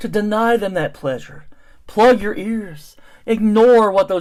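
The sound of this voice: An unforced reading voice delivers the lines with fairly even intonation.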